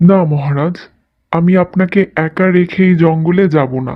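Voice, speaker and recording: This is a cartoonish character voice. It sits at a middle pitch. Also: moderate pace. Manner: respectful, dutiful.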